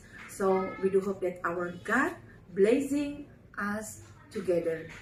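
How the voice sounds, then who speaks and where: A woman talks with ordinary pitch variation while noticeable background noise plays behind her. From Indonesia. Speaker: legal team spokesperson. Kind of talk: reading aloud with commentary. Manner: halting.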